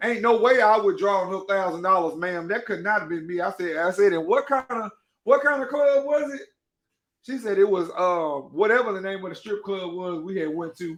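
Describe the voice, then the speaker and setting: Loud and high-pitched, a man speaks at a fairly quick pace with ordinary pitch variation over a quiet background. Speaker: podcast host and cake baker. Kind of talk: casual livestream monologue. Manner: animated.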